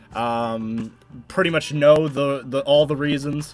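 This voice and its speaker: Music sits in the background as a man speaks at a fairly high pitch. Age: 20s. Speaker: gaming streamer. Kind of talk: casual chat. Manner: halting.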